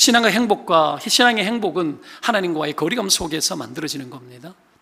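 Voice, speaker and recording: A man's high voice with very wide pitch swings. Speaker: pastor. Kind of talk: sermon. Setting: church. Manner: fast.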